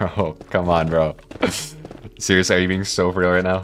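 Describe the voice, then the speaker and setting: Over noticeable background noise, a man with a very deep, low pitch speaks at a moderate pace in a monotone, flat intonation. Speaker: video game streamer. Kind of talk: live stream chat while gaming. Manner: casual, filler-heavy.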